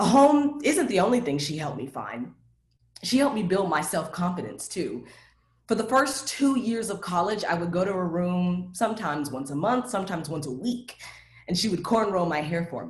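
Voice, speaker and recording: Somewhat breathy and with very wide pitch swings, the voice comes in an American accent. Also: woman, medium pitch for a woman, moderate pace. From Nashville, US. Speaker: TV production worker, storyteller. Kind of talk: personal storytelling. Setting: video call.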